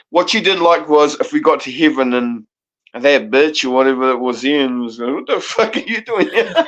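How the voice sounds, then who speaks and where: A fairly high-pitched man with a New Zealand accent, lively intonation and a moderate pace. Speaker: panel guest. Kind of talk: casual chat.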